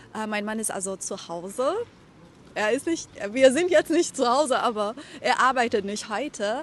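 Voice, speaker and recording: The delivery has lively intonation, big swings in loudness, and long, frequent pauses. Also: woman, high pitch for a woman. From Iran. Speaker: German teacher. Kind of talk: vlog narration for language learners. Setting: outdoors. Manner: slow, clear articulation.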